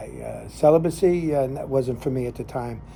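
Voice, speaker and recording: A man with an American accent, somewhat breathy and dark, mellow in tone, at a fairly high pitch and moderate pace. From New Jersey (Jersey City, Hackensack). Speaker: lay minister and cigar show host. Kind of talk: casual storytelling monologue. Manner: halting, many fillers.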